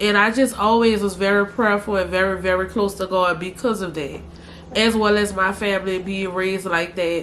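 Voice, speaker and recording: Over noticeable background noise, a woman with a New Orleans accent speaks at a moderate pace, with a medium pitch and fairly even intonation. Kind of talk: casual talk to camera.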